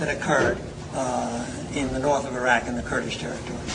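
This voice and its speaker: A man with an American accent speaks over noticeable background noise, with audible echo from the room. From United States. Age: 70s. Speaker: professor. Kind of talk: panel discussion with audience.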